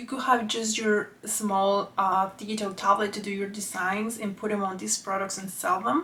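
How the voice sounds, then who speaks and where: A woman with a non-native accent speaks at a moderate pace, her pitch fairly high. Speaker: artist and YouTuber; YouTuber. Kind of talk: casual vlog explanation. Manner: occasionally halting over words. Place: home room.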